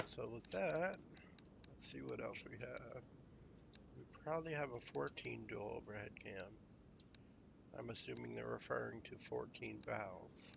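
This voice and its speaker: Amid audible room echo, a man with a fairly low pitch and vocal fry swings his pitch very widely, leaving long, frequent pauses. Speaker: gaming streamer. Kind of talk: live gameplay commentary. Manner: casual, hesitant with fillers.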